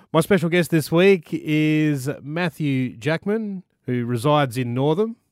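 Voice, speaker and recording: The speaker has an Australian accent and lively intonation. The pace is fairly slow, and the sound is dry and close with no echo. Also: man, fairly high pitch for a man. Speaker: radio host. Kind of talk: radio interview. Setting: studio.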